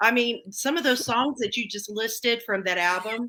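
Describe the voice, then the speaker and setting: Bright and sharp in tone, a woman speaks at a high pitch and moderate pace with ordinary pitch variation. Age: 50s. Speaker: singer and TV audience producer. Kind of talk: interview.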